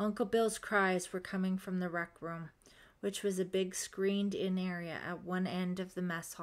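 Natural reading aloud.

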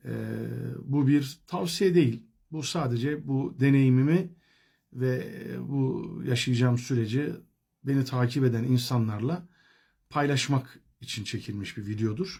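A man speaks very slowly in a dark, mellow tone that is somewhat breathy. He leaves long, frequent pauses. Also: medium pitch for a man, ordinary pitch variation. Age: 40s. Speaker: vlogger sharing diet experience. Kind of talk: personal video diary. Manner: hesitant, many filler sounds.

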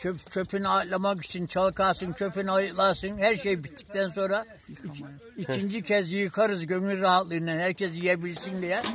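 Over light background noise, a man with a high pitch talks at a moderate pace, his intonation fairly even. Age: 80s+. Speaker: grape farmer. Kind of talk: interview answer. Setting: outdoors. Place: farm. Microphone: phone near.

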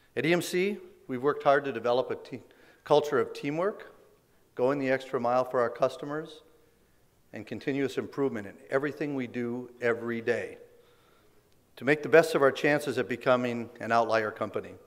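The man speaks at a fairly quick pace, medium in pitch, with ordinary pitch variation.

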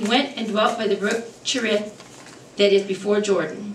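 At a moderate pace, a woman speaks with a fairly high pitch amid audible room echo and light background noise. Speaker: preacher. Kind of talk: sermon. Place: church. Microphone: podium.

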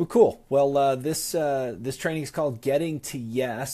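Ordinary pitch variation from a man at a moderate pace. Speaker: sales team trainer. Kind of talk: live stream training talk. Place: office. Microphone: earbuds.

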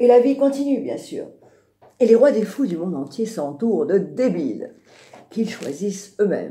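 A woman's somewhat breathy voice with a dark, mellow tone and very wide pitch swings, in audible room echo. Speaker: radio storyteller and singer. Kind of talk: storytelling on radio. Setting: radio studio.

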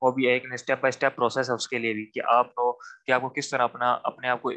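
A man's bright, sharp voice, monotone and flat, at a moderate pace with a quiet background. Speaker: trainer. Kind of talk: lecture. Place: home room. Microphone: video call.

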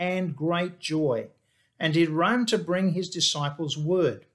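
A man at a high pitch, talking at a fairly slow pace over a quiet background. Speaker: pastor. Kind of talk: sermon. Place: office. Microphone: webcam.

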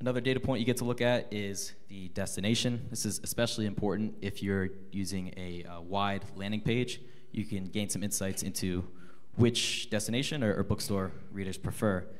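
Speaking at a moderate pace, a man with a fairly low pitch has an unremarkable speaking voice. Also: fairly even intonation. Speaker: marketing lead, panelist. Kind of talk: conference panel presentation. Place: meeting room. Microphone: handheld.

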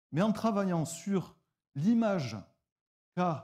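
With a dark, mellow tone and lively intonation, a man speaks against a quiet background. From southwestern France, near Toulouse; southwestern France. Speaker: nonprofit founder. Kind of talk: pitch presentation. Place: stage. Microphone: lapel.

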